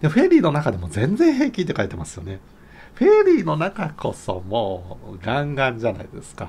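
A man speaks at a fairly quick pace, his loudness swinging a lot. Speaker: YouTuber. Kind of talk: casual monologue. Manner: chatty. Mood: cheerful, laughing often. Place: home room. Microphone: phone near.

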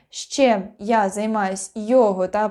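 A woman's fairly high-pitched voice with a dark, mellow tone, in a very clean recording over a silent background. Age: 20s. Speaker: actress. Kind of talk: self-introduction video. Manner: casual, unprepared.

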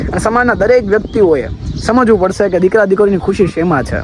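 Lively intonation marks a man's speech, heard over noticeable background noise. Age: young. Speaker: vlogger. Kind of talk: personal vlog monologue.

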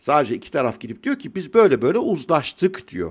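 Against a quiet background, a man with vocal fry talks at a fairly quick pace, his pitch swinging very widely. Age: 50s. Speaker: financial commentator youtuber. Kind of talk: casual monologue commentary. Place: home room. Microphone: studio mic.

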